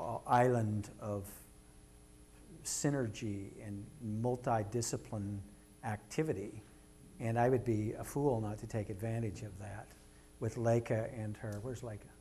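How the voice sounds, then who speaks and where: Speaking at a fairly slow pace with long, frequent pauses, a man with an American accent shows big swings in loudness, with audible room echo and music in the background. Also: medium pitch for a man, fairly even intonation. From Kansas. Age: 60s. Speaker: artist. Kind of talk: public lecture. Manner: informal, with frequent hesitations.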